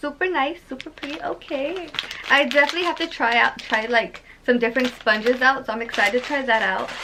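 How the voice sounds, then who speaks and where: Over noticeable background noise, a woman with a high pitch speaks at a very fast pace in a raised, projected voice with lively intonation. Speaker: beauty vlogger. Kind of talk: unboxing vlog. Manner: loud; animated.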